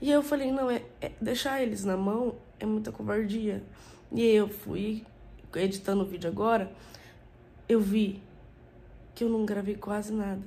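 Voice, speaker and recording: Somewhat breathy, a woman talks at a moderate pace and medium pitch with ordinary pitch variation. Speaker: family vlogger. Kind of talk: vlog talk to camera. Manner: animated.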